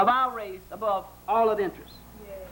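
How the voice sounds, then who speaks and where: Speaking with a Southern US accent, a man keeps a moderate tempo. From American South. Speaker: psychologist and lecturer. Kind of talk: public lecture.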